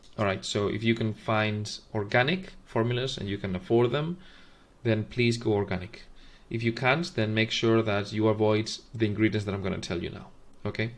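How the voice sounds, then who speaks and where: A man with a non-native accent, fairly low in pitch, at a moderate pace with ordinary pitch variation and a quiet background. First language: not English. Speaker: formula reviewer, video host. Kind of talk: tutorial. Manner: halting, many fillers.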